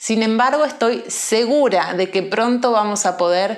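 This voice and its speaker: Fairly high in pitch, a woman speaks with lively intonation amid audible room echo. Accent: Buenos Aires. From Argentina, Buenos Aires. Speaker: Spanish teacher. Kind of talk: language lesson monologue. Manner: slow; clear.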